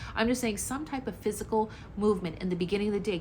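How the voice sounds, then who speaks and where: Here a woman speaks at a medium pitch with ordinary pitch variation. Her voice is somewhat breathy. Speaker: health and wellness vlogger. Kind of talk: tutorial. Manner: casual conversational.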